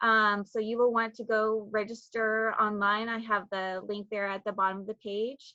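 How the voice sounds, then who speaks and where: With a bright, sharp tone, a woman speaks at a moderate pace in a fairly high pitch. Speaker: state agriculture program coordinator. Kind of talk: presentation. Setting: video call from home. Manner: many fillers.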